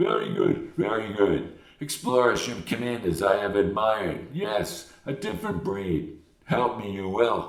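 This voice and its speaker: A man uses a put-on character voice at medium pitch. He talks at a moderate pace with hardly any pauses, and there is slight echo. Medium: read story. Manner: inverted word order, terse.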